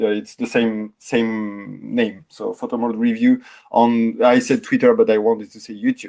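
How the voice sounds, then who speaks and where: The pace here is fairly slow. It's a man talking, with a French accent. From France. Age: 40s. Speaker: in-game photographer. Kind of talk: interview. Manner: halting, repeats words.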